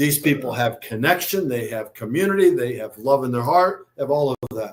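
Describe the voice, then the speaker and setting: A fairly quick-paced man with an American accent, fairly high in pitch, with ordinary pitch variation. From US Midwest. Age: 60s. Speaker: motivational speaker and philanthropist. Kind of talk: podcast interview. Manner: animated.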